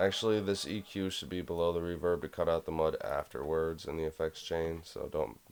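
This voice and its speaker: A man talks at a fairly quick pace with hardly any pauses over light background noise. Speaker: music production tutorial creator. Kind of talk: tutorial. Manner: casual, hesitant. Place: home room.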